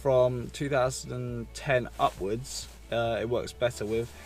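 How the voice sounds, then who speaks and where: A man's voice, dry with no echo, over faint music in the background. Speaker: car vlogger. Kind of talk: casual vlog chat. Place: car.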